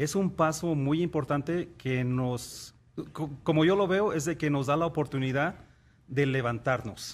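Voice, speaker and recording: The speaker moves at a fairly slow pace. The pitch varies in an ordinary way. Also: man. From Mexico. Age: 50s. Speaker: NASA engineer; interview guest. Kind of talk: TV interview. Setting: studio. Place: studio. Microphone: studio mic.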